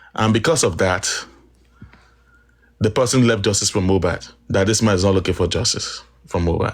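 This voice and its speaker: With long, frequent pauses, a man speaks at a fairly low pitch, keeping his loudness very even and his pitch variation ordinary. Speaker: activist guest on live stream. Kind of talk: live stream discussion. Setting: live stream call. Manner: quiet, slow.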